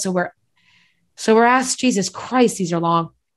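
On a very clean recording with a silent background, a woman speaks in a plain, everyday voice at medium pitch and a fairly quick pace. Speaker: podcast host. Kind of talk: casual chat.

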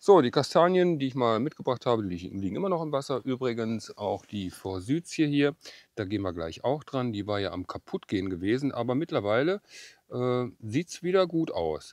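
Against a quiet background, the voice moves at a moderate pace with very wide pitch swings, and the sound is dry with no echo. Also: man. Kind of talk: tutorial. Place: garden. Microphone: lapel.

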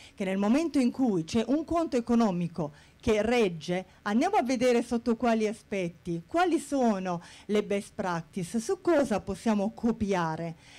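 A woman speaks at a fairly slow pace in a fairly high pitch. Her tone is dark and mellow, with very wide pitch swings. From Bari, southern Italy; Italy. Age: 40s. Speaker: HR manager. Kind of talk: conference talk. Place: hall. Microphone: handheld.

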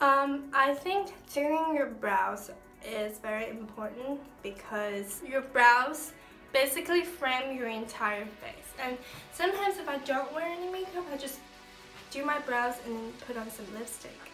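The speech moves at a fairly slow pace with lively intonation and big swings in loudness. Faint music plays in the background. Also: woman, high pitch for a woman. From China. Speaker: beauty vlogger. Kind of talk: casual makeup tutorial talk to camera. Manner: casual, chatty. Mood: relaxed, light-hearted. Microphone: phone near.

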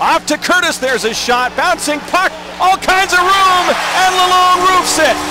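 A man's raised, projected voice at a moderate pace, dry with no echo, over loud background noise. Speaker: hockey play-by-play announcer. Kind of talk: live play-by-play commentary. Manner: excited, rising energy on goals. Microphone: headset.

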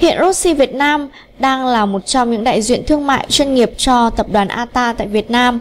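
A woman speaks at a moderate pace in a fairly high pitch. Her pitch varies in an ordinary way.

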